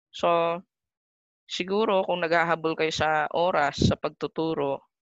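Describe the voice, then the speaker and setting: Against a quiet background, a woman with a normal speaking voice talks fairly slowly at a fairly low pitch with fairly even intonation, the sound dry with no echo. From Philippines. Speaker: math teacher. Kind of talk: casual chat; lecture. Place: home room. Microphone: webcam.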